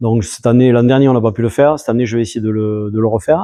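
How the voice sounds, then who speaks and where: The man's voice sits at a medium pitch with ordinary variation. His tone is dark and mellow. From southern France. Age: 70s. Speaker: rally driver. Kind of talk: interview. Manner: halting, many hesitations.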